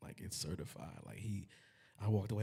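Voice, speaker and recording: Noticeable noise runs behind the recording. A man talks at a fairly quick speed. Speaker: singer. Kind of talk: casual chat.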